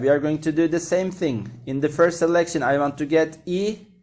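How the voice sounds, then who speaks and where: This man has a plain, everyday voice, set at a fairly high pitch and delivered at a moderate pace. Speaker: math teacher. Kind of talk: lecture.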